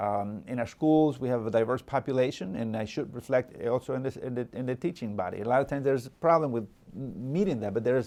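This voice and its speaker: Speaking at a fairly quick pace with a Salvadoran accent, a man keeps a medium pitch and ordinary pitch variation. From El Salvador. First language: Spanish. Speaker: local politician. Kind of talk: interview. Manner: halting, many fillers and repetitions.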